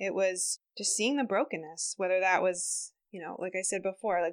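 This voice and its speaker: A woman with a normal speaking voice talks at a moderate pace, medium in pitch. Her intonation is fairly even, and the background is quiet. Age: 30s. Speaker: health center worker. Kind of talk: casual conversation.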